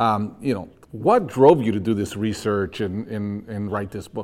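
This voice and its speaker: This man has an ordinary speaking voice with a fairly low pitch. He talks at a fairly slow pace with fairly even intonation. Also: very clean recording, silent background. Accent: American. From outside the US. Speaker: podcast host. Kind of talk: interview conversation.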